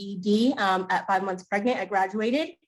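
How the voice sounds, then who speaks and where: Music playing behind a woman talking fairly quickly. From Maine. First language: Spanish. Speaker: school committee candidate. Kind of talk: candidate forum statement.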